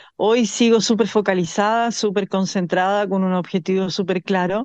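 A woman with a Chilean accent talks at a moderate pace in a medium pitch, her intonation fairly even. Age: 30s. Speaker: Olympic swimmer. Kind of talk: interview.

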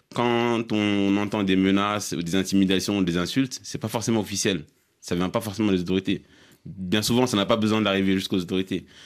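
A man with a normal speaking voice, fairly low in pitch, fairly quick, with fairly even intonation, on a very clean recording with a silent background. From Mali. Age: young. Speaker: blogger. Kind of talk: studio panel discussion.

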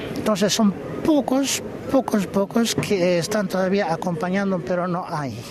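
A man talks at a high pitch and a fairly slow pace, with ordinary pitch variation. Noticeable background noise is present. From Bolivia. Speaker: folk music group director. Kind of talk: interview. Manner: halting.

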